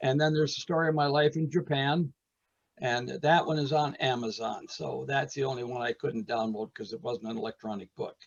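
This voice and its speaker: Somewhat breathy, a man with an American accent speaks at a fairly quick pace and fairly high pitch with ordinary pitch variation. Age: 80s+. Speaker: retired art teacher and potter. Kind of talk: casual interview. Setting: video call, audio only. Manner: animated storytelling.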